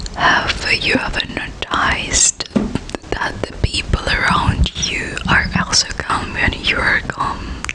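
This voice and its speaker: Through noticeable background noise comes whispering at a very slow pace. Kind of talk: ASMR whisper reading of self-help text. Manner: whispered.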